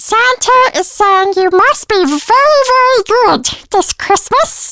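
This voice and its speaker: A put-on character voice, extremely high-pitched and playful, at a fairly slow pace. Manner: playful, silly.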